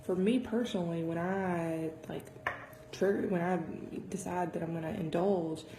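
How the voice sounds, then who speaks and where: A soft-spoken woman at a fairly low pitch and moderate pace, fairly even in intonation, amid noticeable background noise and audible room echo. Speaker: fitness vlogger. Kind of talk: casual vlog talk. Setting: home dining room. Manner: soft-spoken, keeping voice down.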